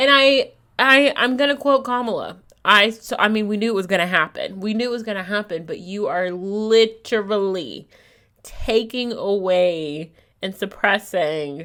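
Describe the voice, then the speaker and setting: With lively intonation and a bright, sharp tone, a woman speaks at a medium pitch and fairly slow pace in a very clean recording with a silent background. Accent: American. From US, state neighboring Kentucky. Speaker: podcaster. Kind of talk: casual monologue.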